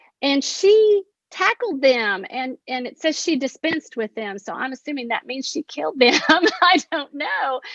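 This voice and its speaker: In an Appalachian accent, a woman speaks fairly slowly at a high pitch, her pitch swinging very widely. Her loudness swings a lot too, and the sound is dry and close with no echo. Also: hardly any pauses. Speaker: poet. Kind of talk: panel discussion.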